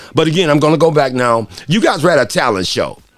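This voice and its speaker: At a very fast pace, a man speaks in a fairly high pitch with lively intonation and an animated tone. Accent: American. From Detroit, US Midwest. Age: 60s. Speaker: radio host. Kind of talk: interview.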